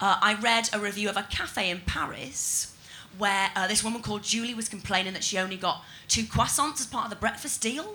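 A woman talks at a fairly quick pace in a plain, everyday voice, fairly high in pitch with ordinary pitch variation. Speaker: stand-up comedian. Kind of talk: stand-up. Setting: stage with audience.

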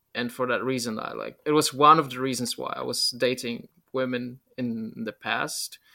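Here a man with a Polish accent speaks at medium pitch and a moderate pace. His tone is bright and sharp, his intonation fairly even. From Poland. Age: 30s. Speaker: YouTuber and writer. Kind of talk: casual interview conversation.

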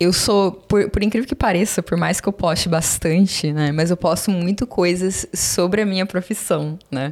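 Calm in tone, the voice moves at a fairly slow pace with ordinary pitch variation on a very clean recording with a silent background. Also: woman. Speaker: study-abroad consultant and influencer. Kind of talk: casual chat. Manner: calm and normal off camera.

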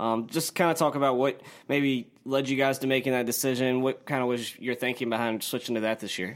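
An ordinary speaking voice with an American accent, fairly quick and with hardly any pauses, fairly even in intonation, on a very clean recording with a silent background. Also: man, medium pitch for a man. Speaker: sports podcast co-host. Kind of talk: casual sports talk.

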